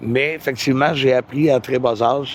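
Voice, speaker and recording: A man with a Quebec accent, moderate pace and fairly even intonation. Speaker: musician. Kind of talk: interview. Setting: outdoors by a river. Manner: hesitant, many fillers.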